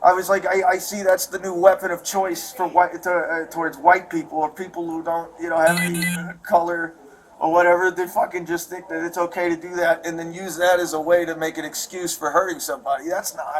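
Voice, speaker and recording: A man with a Chicago accent, a high voice, fairly even intonation, big swings in loudness, and a fairly quick pace. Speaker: assault victim speaking to police. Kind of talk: casual talk with police after incident. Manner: agitated.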